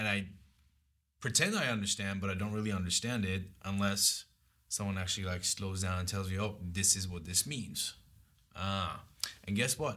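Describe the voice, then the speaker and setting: At a moderate pace, a man speaks in a fairly low, bright, sharp voice with fairly even intonation. He leaves long, frequent pauses. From Iran. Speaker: guest. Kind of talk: casual chat.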